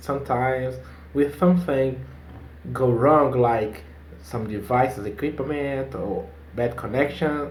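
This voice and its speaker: Very slow in pace, a man with a Portuguese accent speaks at medium pitch with lively intonation. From Brazil. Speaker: English learner. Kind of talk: casual video-call conversation. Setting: video call.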